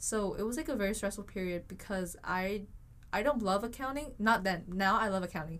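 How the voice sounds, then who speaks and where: A woman talks at a fairly quick pace with a Vietnamese accent. Her medium pitch shows ordinary variation. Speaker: university student. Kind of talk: casual chat.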